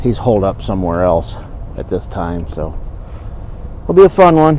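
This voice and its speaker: A man talks with a very deep, low pitch and very wide pitch swings. Noticeable background noise is present. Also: moderate pace. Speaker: trapper and outdoor video host. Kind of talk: casual outdoor vlog narration. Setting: outdoors at a beaver trapline.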